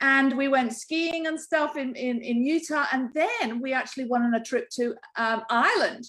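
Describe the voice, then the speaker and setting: In an English accent, a woman speaks at a moderate pace in a high pitch with ordinary pitch variation. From England. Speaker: network marketing distributor. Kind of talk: casual business pitch. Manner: chatty.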